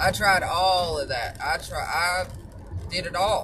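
A woman with a Southern US accent amid noticeable background noise. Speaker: supplement seller and vlogger. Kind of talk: casual monologue with sales pitch. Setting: driving in a car. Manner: animated, chatty, upbeat.

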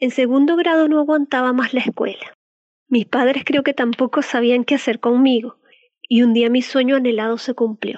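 A woman speaks at a moderate pace and a high pitch. Her loudness stays very even. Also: fairly even intonation. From Venezuela. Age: 30s. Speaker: decoding practitioner and former teacher. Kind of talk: scripted narration.

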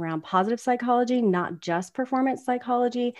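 In a normal speaking voice with an American accent, someone talks at a fairly quick pace with ordinary pitch variation against a quiet background. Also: woman. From US South. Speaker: performance consultant and podcast co-host. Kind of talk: casual chat.

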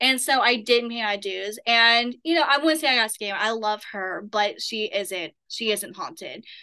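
A woman with an Appalachian accent speaks at a moderate pace in a fairly high, bright, sharp voice, her lively intonation running on with hardly any pauses. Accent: Southern Appalachian American. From southern Appalachia, US. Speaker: paranormal investigator. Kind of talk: casual interview.

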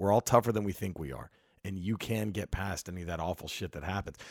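A normal speaking voice, a man's at fairly low pitch and fairly quick pace, ordinary pitch variation, dry and close with no echo, very clean recording with a silent background. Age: 40s. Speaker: stand-up comedian. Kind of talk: casual chat. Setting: at guest's home.

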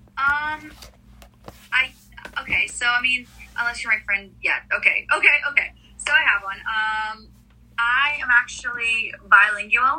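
Pausing long and often, a woman talks at a fairly slow pace and high pitch, with ordinary pitch variation. Background noise is noticeable. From Israel. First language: Russian. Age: 20s. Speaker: singer-songwriter. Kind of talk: casual interview. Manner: hesitant, many fillers.

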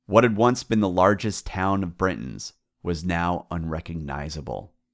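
Very deep and low-pitched, a man speaks at a moderate pace in a dramatic tone with vocal fry and lively intonation, on a very clean recording with a silent background. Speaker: podcast host. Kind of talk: scripted history narration, dramatic storytelling. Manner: dramatic, building intensity, measured and vivid.

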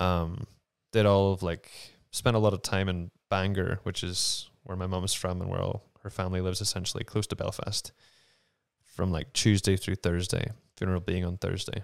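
In a very clean recording with a silent background, a man with a Northern Irish accent speaks at a moderate pace in a very deep, low pitch with monotone, flat intonation. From Northern Ireland. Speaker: actor. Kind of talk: casual conversation. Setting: home studio.

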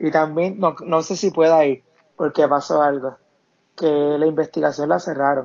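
An ordinary speaking voice from a man, moderate in pace, with ordinary pitch variation. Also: fairly high pitch for a man. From Puerto Rico, Camuy. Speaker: burn accident survivor. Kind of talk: interview testimony.

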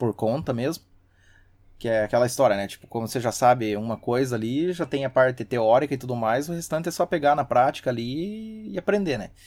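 In a very clean recording with a silent background, a man with a plain, everyday voice speaks at a medium pitch and a fairly quick pace with lively intonation. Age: 30s. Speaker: systems analyst and hobby musician. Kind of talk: casual chat.

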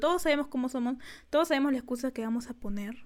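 With ordinary pitch variation, a woman speaks at a high pitch on a very clean recording with a silent background. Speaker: podcast co-host, student. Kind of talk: casual chat.

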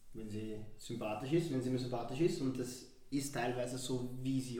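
Noticeable background noise and audible room echo around a man's medium-pitched voice. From Vienna, Austria. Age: 20s. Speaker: podcast guest. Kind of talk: casual chat. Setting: studio.

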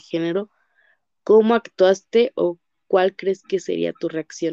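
Dry and close with no echo, a woman's voice has a medium pitch and a dark, mellow tone. She speaks at a fairly slow pace with fairly even intonation. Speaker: psychology student interviewer. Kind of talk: interview.

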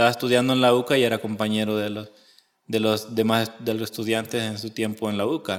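The speaker is a man with a medium pitch. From El Salvador. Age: 30s. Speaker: religious seminarian. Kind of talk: interview. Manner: halting.

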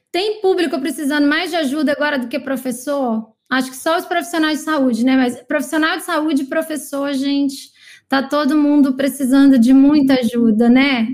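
A woman's voice sits high in pitch. The pitch moves in an ordinary way. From Brazil, Maranhão (São Luís). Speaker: podcast host, marketing coach. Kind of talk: casual group video call. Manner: animated.

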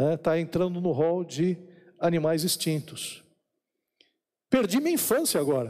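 A man's high-pitched voice with a dark, mellow tone, ordinary pitch variation, very even loudness, a fairly slow pace and long, frequent pauses. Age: 50s. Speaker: pastor. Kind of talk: sermon.

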